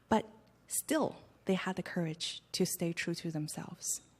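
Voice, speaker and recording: A woman's ordinary speaking voice, medium in pitch and moderate in pace, on a very clean recording with a silent background. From China, Hunan province; raised in Canada. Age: 20s. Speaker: actress and human rights activist. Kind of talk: press club Q&A. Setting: press club event with audience.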